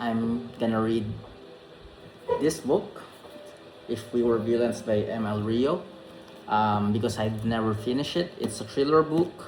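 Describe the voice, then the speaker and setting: A man of medium pitch speaks with a Filipino accent at a fairly slow pace, with ordinary pitch variation, long and frequent pauses, and noticeable background noise. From Philippines. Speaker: vlogger. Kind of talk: casual vlog talk; reading aloud. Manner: halting, many fillers.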